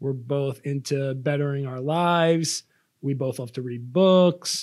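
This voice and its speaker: A man's fairly high, dark and mellow voice, fairly slow and fairly even in intonation, on a very clean recording with a silent background. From Long Island, New York. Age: 30s. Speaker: podcast co-host. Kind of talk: casual chat. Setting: studio.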